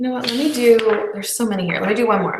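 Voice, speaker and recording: There is audible room echo on this recording. A woman speaks at a fairly high pitch. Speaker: video chat host. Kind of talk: live personality quiz presentation. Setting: live video hangout broadcast. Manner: fast.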